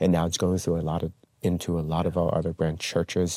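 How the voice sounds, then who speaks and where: With a Taiwanese-American accent, a man speaks in a very deep, low voice, recorded dry and close with no echo. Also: very clean recording, silent background. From Taiwan, moved to US at twelve. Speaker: pastor. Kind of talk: interview.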